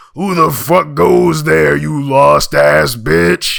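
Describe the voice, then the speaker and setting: A man uses a put-on character voice, gruff and booming at a very deep, low pitch. He speaks at a very slow pace. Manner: aggressive, crude.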